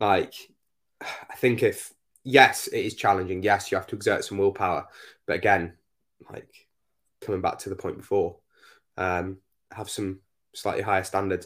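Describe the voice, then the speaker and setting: At a moderate pace with long, frequent pauses, the voice swings widely in loudness in a very clean recording with a silent background. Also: man. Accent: Northumbrian. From northeast England, Northumberland. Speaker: fitness coach and podcast host. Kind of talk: casual chat.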